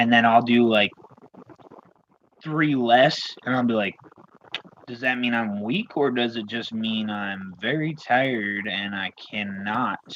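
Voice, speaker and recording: A man's medium-pitched voice at a fairly slow pace, broken by long, frequent pauses. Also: ordinary pitch variation. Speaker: arm wrestler. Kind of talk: casual chat. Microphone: connection freezing, robotic sound.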